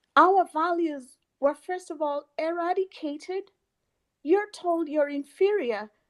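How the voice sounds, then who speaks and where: This woman has an extremely high pitch and a Kenyan accent. Her intonation is lively, and the sound is dry and close with no echo. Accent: Kenyan accent, noticeable. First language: a Kenyan mother tongue. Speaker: pan-African activist. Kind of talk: online audio room discussion. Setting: online audio space.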